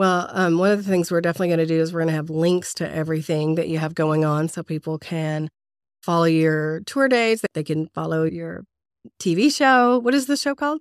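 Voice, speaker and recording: A woman speaks in an ordinary speaking voice at a fairly quick pace, her fairly low pitch carrying lively intonation in a dry, close sound with no echo. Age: 40s. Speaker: podcast host. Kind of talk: casual interview.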